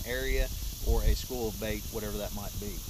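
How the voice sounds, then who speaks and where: A man is heard over noticeable background noise, the sound dry with no echo. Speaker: fishing instructor. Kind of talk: tutorial. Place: boat. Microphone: camera far.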